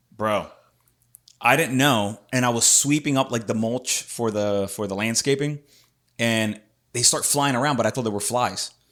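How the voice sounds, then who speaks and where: In a very clean recording with a silent background, a man with a plain, everyday voice speaks at a moderate pace, medium in pitch, with fairly even intonation. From Puerto Rico, then Philadelphia. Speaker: podcast host. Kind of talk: casual chat. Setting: studio.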